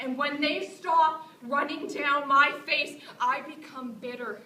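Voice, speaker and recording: Over noticeable background noise, a raised, projected voice speaks at a very slow pace. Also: woman. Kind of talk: spoken word poetry performance. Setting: live stage performance. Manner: raw, intensely emotional.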